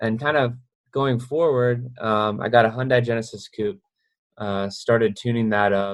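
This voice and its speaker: With an unremarkable speaking voice, a man talks at a moderate pace and fairly even intonation. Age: 20s. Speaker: drifting driver and content creator. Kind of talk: podcast interview. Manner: casual, many fillers.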